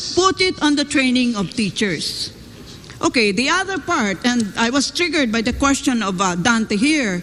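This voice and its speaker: A woman's high voice with very wide pitch swings at a moderate pace, over noticeable background noise. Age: 70s. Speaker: educator. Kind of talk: panel discussion. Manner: animated.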